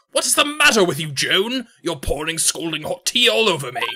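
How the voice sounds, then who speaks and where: A put-on character voice sits at a middle pitch and moves at a fairly quick pace. Its pitch swings very widely. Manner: unimpressive, exaggerated.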